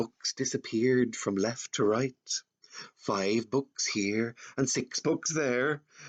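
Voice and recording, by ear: Against a quiet background, someone reads aloud in a natural voice, the pitch varying in an ordinary way.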